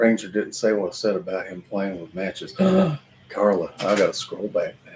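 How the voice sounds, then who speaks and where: Music plays behind a man with a Kentucky accent. He speaks at a moderate pace, his loudness swinging widely. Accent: Kentucky Southern US. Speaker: livestream host chatting with his mother. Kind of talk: casual live stream chat.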